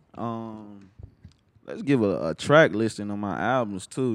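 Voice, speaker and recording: In an ordinary speaking voice, a man talks at a fairly slow pace with a fairly low pitch. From Atlanta, US South. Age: 20s. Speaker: rapper. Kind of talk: casual interview.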